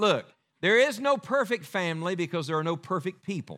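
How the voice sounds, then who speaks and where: Speaking with an Appalachian accent, a man uses a high, bright, sharp voice with very wide pitch swings at a moderate pace, on a very clean recording with a silent background. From West Virginia. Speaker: evangelist preacher. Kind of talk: sermon. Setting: church.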